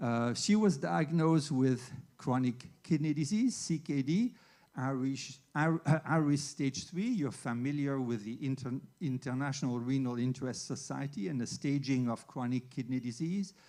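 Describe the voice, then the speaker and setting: A man with a fairly high pitch speaks in a dark, mellow tone. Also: ordinary pitch variation, moderate pace. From Switzerland. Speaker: veterinary internist. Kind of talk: lecture.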